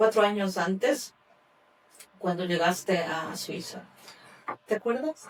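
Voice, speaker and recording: At a very slow pace, a woman speaks with music in the background. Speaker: podcast host. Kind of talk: podcast interview hosting.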